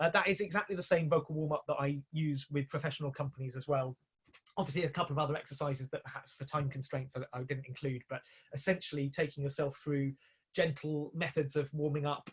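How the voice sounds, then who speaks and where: A man's fairly high, somewhat breathy voice moves along at a fairly quick clip. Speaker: composer and musical director. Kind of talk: online talk. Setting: video call. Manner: fast; hesitant.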